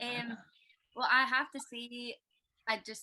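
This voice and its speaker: A woman's bright, sharp voice in a Scottish accent. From Scotland, Glasgow. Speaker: musician. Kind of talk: casual chat.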